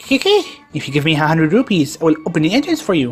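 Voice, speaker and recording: A put-on character voice, squeaky and at a middle pitch, rattles along at a very fast pace. Clear music plays in the background. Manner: bargaining, playing a game character.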